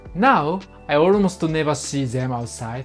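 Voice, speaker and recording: Someone with a Japanese accent speaks at a fairly slow pace, the pitch swinging very widely, with music playing in the background. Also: woman. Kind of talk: casual cultural explainer narration.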